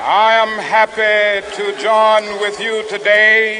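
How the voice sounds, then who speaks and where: A man's raised, projected voice, high-pitched for a man, with an American accent and monotone, flat intonation over noticeable background noise. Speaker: civil rights leader, minister. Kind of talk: historic public oration at a rally. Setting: outdoor rally PA system, 1960s recording. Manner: rhythmic, impassioned, preacher-like cadence.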